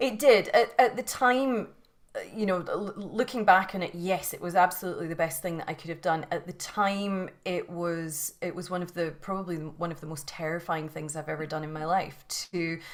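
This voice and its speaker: Someone with a Scottish accent speaks with big swings in loudness. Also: woman, fairly low pitch for a woman, ordinary pitch variation, moderate pace. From Scotland. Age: 40s. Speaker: yoga teacher and mindset coach. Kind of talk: interview. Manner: halting, many repetitions.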